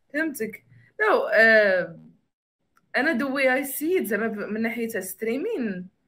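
A woman's fairly high, bright, sharp voice with lively intonation and long, frequent pauses. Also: moderate pace. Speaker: podcaster and card game creator. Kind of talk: casual chat. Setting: livestream. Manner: code-switching Darija and English.

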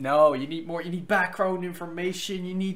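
Speaking at a moderate pace, a man with a high pitch keeps his intonation fairly even and his tone fairly bright.

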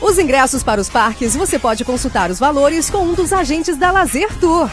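A woman's high-pitched voice with very wide pitch swings, over music in the background. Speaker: voiceover announcer. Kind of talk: TV commercial read.

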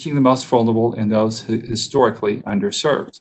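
This is a man speaking. The background is quiet. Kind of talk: formal address at council meeting. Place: office. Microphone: video call.

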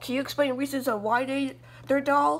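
Fairly even intonation at a moderate pace.

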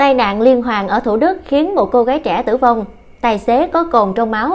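A woman talks at a moderate pace with a fairly high pitch and lively intonation. Hers is an unremarkable speaking voice. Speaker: news reader. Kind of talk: news reading.

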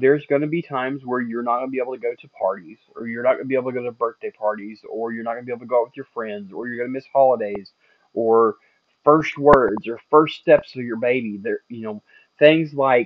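A man talks at a very fast pace with fairly even intonation, the sound dry with no echo. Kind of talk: casual vlog advice.

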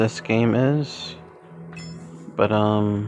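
A medium-pitched man at a very slow pace, with ordinary pitch variation and music in the background. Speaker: gaming youtuber. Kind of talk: let's play commentary. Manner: slurred, hesitant with fillers.

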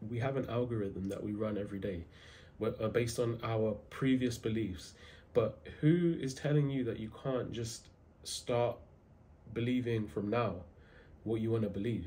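A man speaks at a moderate pace, his voice somewhat breathy. His pitch varies in an ordinary way, broken by long, frequent pauses. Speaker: self-improvement content creator. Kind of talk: casual motivational talk to camera. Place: home room. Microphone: phone near.

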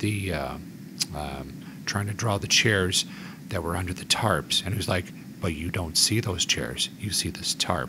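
A man talking at a moderate pace amid noticeable background noise. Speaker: podcast host. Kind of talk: casual chat.

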